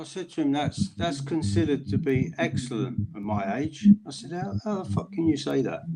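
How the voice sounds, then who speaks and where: With hardly any pauses, a man speaks at a moderate pace in a somewhat breathy, dark, mellow voice, fairly high in pitch and swinging very widely up and down. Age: 50s. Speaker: friend in group chat. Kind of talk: casual chat.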